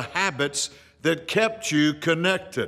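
A man with a bright, sharp tone and fairly high pitch speaks at a fairly slow pace against a quiet background. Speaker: pastor. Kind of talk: short devotional radio message. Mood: earnest, encouraging. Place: studio.

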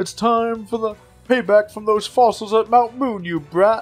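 A man puts on a character voice with a high pitch. He talks at a moderate pace over faint background music. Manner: menacing, theatrical, taunting.

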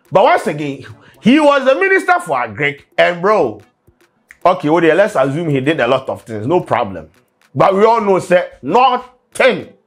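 A man speaks at a moderate pace. Faint music can be heard behind him. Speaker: comedic news commentator. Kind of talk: satirical commentary. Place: studio. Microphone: lapel.

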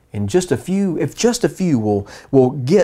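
A man with a fairly high, somewhat breathy voice speaks at a fairly slow pace, his tone dark, mellow and warm. His pitch swings very widely over a quiet background. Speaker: preacher. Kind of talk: sermon in a Bible study. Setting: church Bible study streamed online. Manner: warm, earnest, pastoral; emphatic, repeating for effect. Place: home room. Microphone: lapel.

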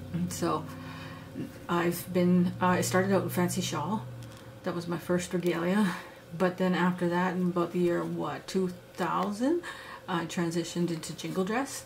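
Noticeable background noise accompanies a woman speaking at a moderate pace with a Canadian Prairie accent. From Saskatchewan, Canada. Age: 40s. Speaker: beadwork and sewing instructor, activist. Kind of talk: tutorial. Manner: casual, halting with fillers.

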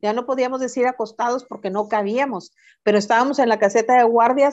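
Quiet background surrounds a woman's high-pitched voice. She keeps a moderate pace. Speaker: reading mediator. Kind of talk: casual interview. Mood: warm nostalgic storytelling. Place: home room. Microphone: video call.

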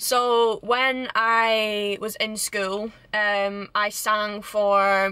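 A woman's voice comes through with a dry sound and no echo. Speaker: vlogger. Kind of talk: casual vlog chat. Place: car. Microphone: phone near.

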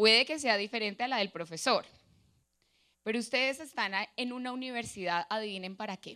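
Over a quiet background, a woman with a fairly high, bright, sharp voice talks in an animated way at a fairly quick pace, broken by long, frequent pauses. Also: ordinary pitch variation. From Colombia, Boyacá (Sogamoso). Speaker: motivational speaker, lawyer and social innovator. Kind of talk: motivational talk. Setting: auditorium stage with audience. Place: hall. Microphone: handheld.

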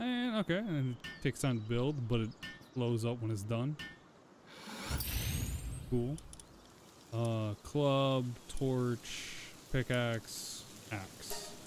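A man speaks at a very slow pace with fairly even intonation. The sound is dry with no echo, though there is noticeable background noise. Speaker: gaming streamer. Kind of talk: gameplay commentary.

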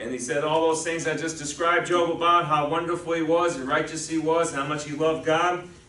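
This man has a high pitch and speaks at a moderate pace. Room echo is audible in the recording. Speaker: pastor. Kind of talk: sermon. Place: church.

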